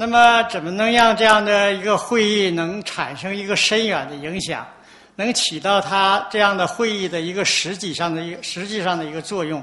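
The voice is raised and projected, with fairly even intonation at a moderate pace. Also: man, high pitch for a man. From China. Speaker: environmental activist. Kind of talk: conference talk. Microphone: podium.

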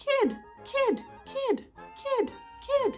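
A put-on character voice plays over faint music in the background.

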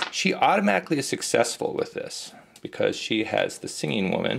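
Light background noise under a man's moderate pace. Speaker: board game video host. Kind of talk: gameplay commentary. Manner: casual, rambling. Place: home room. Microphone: phone near.

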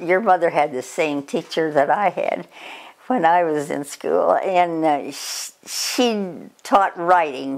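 Against a quiet background, a woman speaks at a very slow pace with a fairly low pitch and ordinary pitch variation. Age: 80s+. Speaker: grandmother sharing memories. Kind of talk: reminiscing interview. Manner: halting. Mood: reflective, gently amused. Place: home room. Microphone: camera far.

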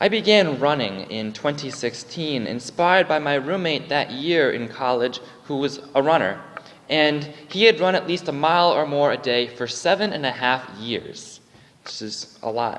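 Using very wide pitch swings, a man talks at a fairly slow pace. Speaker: lay preacher. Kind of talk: sermon. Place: church.

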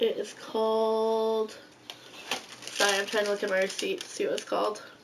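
A woman keeps a moderate pace but leaves long, frequent pauses, with noticeable background noise behind her. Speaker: friend showing haul. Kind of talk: product haul chat. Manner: hesitant, many ums.

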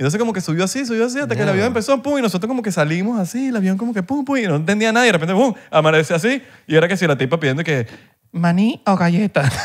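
A man with a Venezuelan accent races along at a very fast pace, his high pitch moving in very wide swings. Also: quiet background. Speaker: podcast co-host. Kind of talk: casual chat. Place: studio. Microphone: studio mic.

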